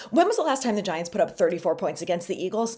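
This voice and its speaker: The tone is animated. Pitch swings very widely. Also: woman. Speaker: sports fan commentator. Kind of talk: casual sports commentary. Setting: home at night. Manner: quiet.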